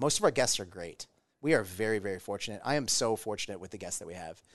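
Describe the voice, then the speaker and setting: A man with an American accent has an unremarkable speaking voice at medium pitch. His intonation is lively, and the background is quiet. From US Midwest, Omaha. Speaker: restaurant owner. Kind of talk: casual chat.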